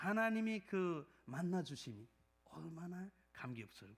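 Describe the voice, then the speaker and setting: A man's voice with very wide pitch swings. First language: Nepali (speaking Korean). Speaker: pastor. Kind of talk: sermon; testimony. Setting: church. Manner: halting, many fillers.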